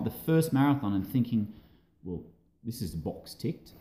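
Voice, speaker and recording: With an Australian accent, a man speaks in a dark, mellow tone with lively intonation. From Australia, Adelaide. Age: 40s. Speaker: amateur ultra runner. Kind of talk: casual interview.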